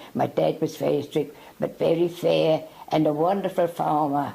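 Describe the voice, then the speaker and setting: A woman speaks with vocal fry in a very deep, low pitch and a dark, mellow tone. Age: 80s+. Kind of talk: interview answer.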